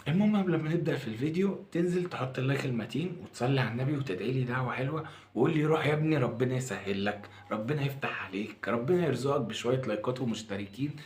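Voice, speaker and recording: Medium-pitched man in an Egyptian accent, hardly any pauses, noticeable background noise and audible room echo. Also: lively intonation, fairly quick pace. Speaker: food reviewer YouTuber. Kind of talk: casual food review vlog. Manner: lowered voice, quiet.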